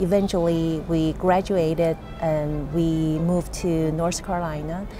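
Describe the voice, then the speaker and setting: A woman speaks very slowly with a Chinese accent, her very deep, low voice flat and monotone. Music plays behind her, and the room echoes audibly. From China. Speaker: business owner. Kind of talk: interview. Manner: halting, many fillers.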